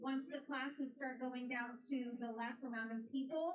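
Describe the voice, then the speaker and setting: Loud and high-pitched, a woman talks at a moderate pace with fairly even intonation. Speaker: tournament announcer. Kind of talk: event announcements.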